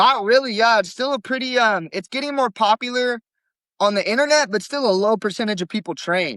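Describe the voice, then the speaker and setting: A man's high-pitched voice, bright and sharp in tone, with ordinary pitch variation, at a fairly quick pace, dry and close with no echo against a quiet background. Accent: Californian. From California, Stockton area. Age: 20s. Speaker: jiu-jitsu competitor. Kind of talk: podcast interview.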